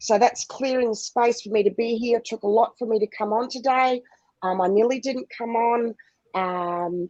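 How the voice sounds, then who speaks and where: Dry and close with no echo, this recording has a woman speaking at a moderate pace in a fairly high pitch. Her tone is dark, mellow and passionate, with fairly even intonation. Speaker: spiritual guide. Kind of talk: guided visualization. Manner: loud.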